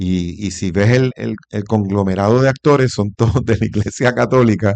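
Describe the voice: A man with fairly low pitch, vocal fry, a slightly mellow tone, fairly even intonation and a moderate pace.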